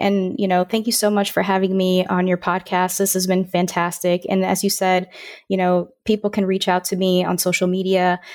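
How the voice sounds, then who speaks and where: On a very clean recording with a silent background, a woman with an American accent speaks at a fairly quick pace and medium pitch, with very even loudness and monotone, flat intonation. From Florida, Orlando. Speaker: aerospace engineer and science communicator. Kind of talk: interview podcast.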